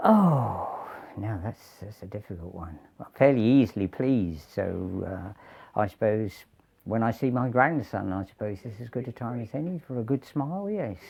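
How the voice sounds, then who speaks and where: A man's medium-pitched voice in a southern English accent, with lively intonation and big swings in loudness. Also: moderate pace. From southern England, Kent. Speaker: retired greengrocer. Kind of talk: interview. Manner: halting.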